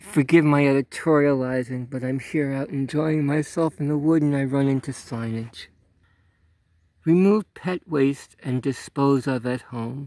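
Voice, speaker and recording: A man speaks at a fairly slow pace in a fairly high pitch, with a dark, mellow tone and ordinary pitch variation, on a very clean recording with a silent background. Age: 70s. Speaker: outdoors vlogger. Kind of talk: casual vlog with sarcastic commentary. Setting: outdoors in a state park.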